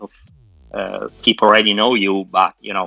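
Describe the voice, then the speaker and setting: A man speaks with an Italian accent. Music plays in the background. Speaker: moderator. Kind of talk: panel discussion. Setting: video call.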